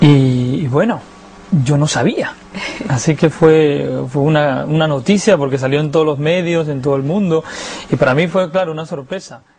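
A man with a Lima accent, fairly high in pitch, at a moderate pace with ordinary pitch variation over noticeable background noise. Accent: Lima Peruvian Spanish, refined. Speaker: opera tenor. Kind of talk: interview answer.

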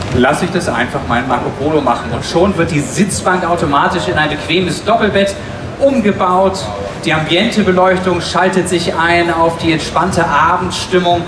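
A man with a high voice talks at a moderate pace and with ordinary pitch variation. Noticeable background noise runs underneath. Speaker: presenter. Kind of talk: stage product demonstration. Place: hall.

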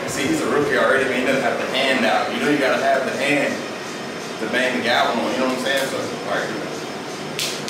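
Amid loud background noise and audible room echo, a man speaks at a fairly quick pace. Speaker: fitness vlogger. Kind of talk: casual vlog chat. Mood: playful, joking. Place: garage.

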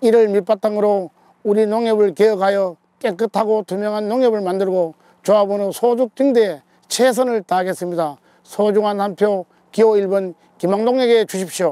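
A man's high-pitched voice carries a dark, mellow tone and fairly even intonation, with a dry sound with no echo and a quiet background. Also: moderate pace. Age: 60s. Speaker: election candidate. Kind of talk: campaign speech. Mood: earnest, appealing for votes. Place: open country.

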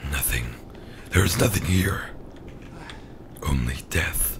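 Putting on a character voice, a man speaks fairly slowly with a very deep, low pitch over clear background noise. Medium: role play. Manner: ominous, theatrical.

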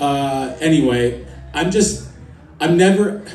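Over music in the background and audible room echo, a man talks with an American accent. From US East Coast. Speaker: stand-up comedian. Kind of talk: stand-up comedy set. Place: stage.

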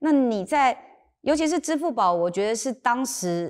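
A woman speaks at a moderate pace, and the background is quiet. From Taiwan, Sanxia (New Taipei); Taiwan. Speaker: lawyer turned tech company chairwoman. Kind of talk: interview conversation. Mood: calm, thoughtful. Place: studio. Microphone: lapel.

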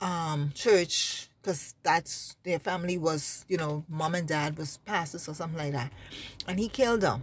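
Over light background noise, a woman speaks in a somewhat breathy, fairly low voice with fairly even intonation and a dry sound with no echo. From Bahamas. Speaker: religious vlogger. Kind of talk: informal religious exhortation. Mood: earnest, emphatic, sometimes sad. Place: car. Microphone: phone near.

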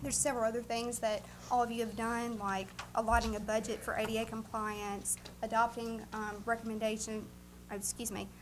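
A woman's fairly high voice with a Southern US accent, flat monotone intonation, and light background noise. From US South. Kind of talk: annual report presentation. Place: meeting room. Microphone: camera far.

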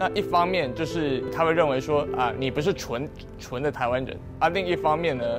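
Over clear music in the background, a man talks at a moderate pace with a fairly high pitch and ordinary pitch variation. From Yunlin, Taiwan. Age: young. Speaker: interviewee. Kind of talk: interview answer. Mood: calm, reflective. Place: empty room.

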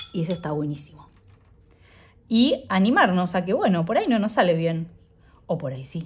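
Somewhat breathy and warm in tone, a woman with a fairly low pitch and lively intonation speaks with long, frequent pauses. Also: moderate pace. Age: 40s. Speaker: illustrator and drawing teacher. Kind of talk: tutorial. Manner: warm, encouraging.

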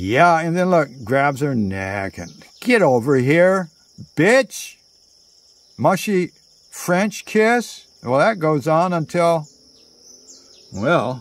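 A man talks at a very slow pace with very wide pitch swings and long, frequent pauses, in a dry sound with no echo. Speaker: storyteller. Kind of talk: casual storytelling monologue. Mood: playful, theatrical storytelling. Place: garden. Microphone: phone near.

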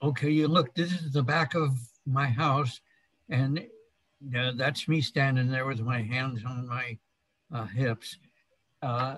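At a very slow pace, a man speaks in a somewhat breathy voice with ordinary pitch variation, in dry sound with no echo and a quiet background. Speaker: interviewee. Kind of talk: interview answer. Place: home room. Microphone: video call.

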